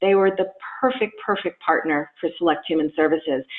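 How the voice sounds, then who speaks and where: A woman speaks at a moderate pace. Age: 60s. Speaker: nonprofit CEO. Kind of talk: interview. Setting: podcast. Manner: animated.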